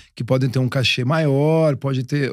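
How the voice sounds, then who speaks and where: The recording has a quiet background and a dry sound with no echo. A man speaks at a medium pitch. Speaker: podcast co-host, music producer; podcast co-host. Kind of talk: casual chat. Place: studio. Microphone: studio mic.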